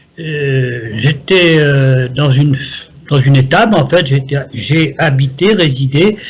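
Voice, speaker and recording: A man talks in a fairly high voice with ordinary pitch variation while noticeable background noise runs underneath. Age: 70s. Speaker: psychic. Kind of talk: interview.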